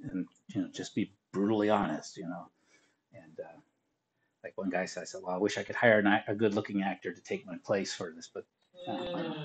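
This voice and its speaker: Here a man speaks at a fairly quick pace. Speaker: teacher. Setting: online class, mic audio.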